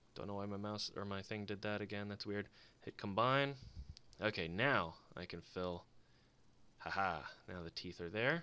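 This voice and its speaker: Mumbling with long, frequent pauses, a man speaks at a fairly low pitch with ordinary pitch variation and a bright, sharp tone. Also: moderate pace. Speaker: embroidery digitizer, video creator. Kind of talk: screen-recorded tutorial. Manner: casual, thinking aloud.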